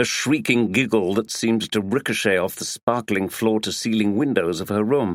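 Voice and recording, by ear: A passage read aloud in a natural voice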